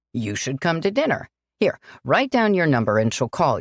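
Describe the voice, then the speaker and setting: A woman's put-on character voice, fairly low in pitch with very wide pitch swings, at a moderate pace on a very clean recording with a silent background. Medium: read story. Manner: hearty, rapid-fire.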